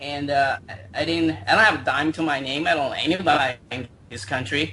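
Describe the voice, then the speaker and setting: Against noticeable background noise, a man with a fairly high pitch speaks at a fairly quick pace, his intonation lively. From China. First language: Chinese. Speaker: internet marketer. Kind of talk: interview. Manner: halting.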